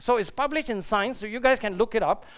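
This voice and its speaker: A man talks at a very fast pace with lively intonation on a very clean recording with a silent background. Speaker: astrophysicist. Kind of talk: conference lecture. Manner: animated.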